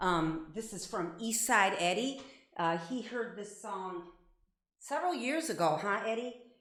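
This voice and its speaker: With audible room echo, a speaker in an American accent talks at a fairly slow pace with lively intonation. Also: woman, medium pitch for a woman. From Ohio, Avon Lake. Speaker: singer-songwriter. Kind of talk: casual live-stream chat. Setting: live stream from home bathroom. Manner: halting, many fillers.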